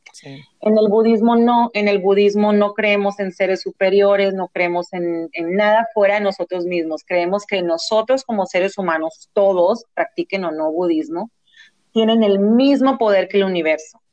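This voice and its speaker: A woman talks at a medium pitch and a moderate pace, with ordinary pitch variation. The sound is dry and close, with no echo. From US West Coast, San Diego, Mexican family. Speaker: actress and entrepreneur. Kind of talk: interview.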